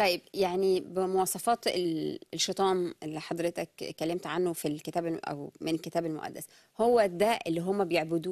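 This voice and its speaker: A woman with a plain, everyday voice and fairly low pitch talks at a moderate pace with fairly even intonation, the sound dry with no echo over a quiet background. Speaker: TV show host. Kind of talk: live TV discussion interview. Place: studio.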